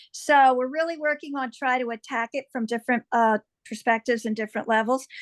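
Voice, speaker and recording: Over a quiet background, a woman with a high pitch talks in fairly even intonation, the sound dry and close with no echo. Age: 60s. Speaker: liver cancer patient. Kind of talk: panel introduction.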